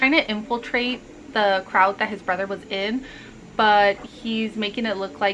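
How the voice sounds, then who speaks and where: This soft-spoken woman keeps her intonation fairly even. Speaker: book vlogger. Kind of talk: casual vlog monologue.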